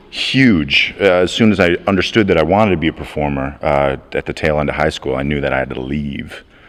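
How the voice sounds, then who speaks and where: A man with an American accent talks at a fairly quick pace in a very deep, low pitch, with hardly any pauses. His pitch variation is ordinary, and noticeable background noise runs underneath. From upstate New York. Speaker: a cappella singer. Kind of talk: interview.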